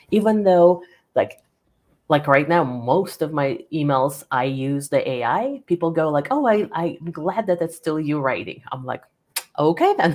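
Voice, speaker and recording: A woman's fairly low voice, in a non-native accent, with lively intonation at a fairly slow pace. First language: not English. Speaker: business author and coach. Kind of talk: interview.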